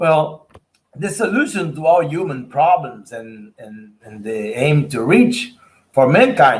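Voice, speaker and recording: Very slowly and somewhat breathily, a man speaks at a fairly high pitch with very wide pitch swings. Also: big swings in loudness. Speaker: spiritist researcher and speaker. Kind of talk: lecture. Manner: halting.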